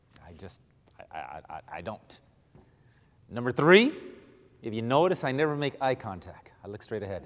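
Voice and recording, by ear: A man's fairly low voice at a moderate pace, with big swings in pitch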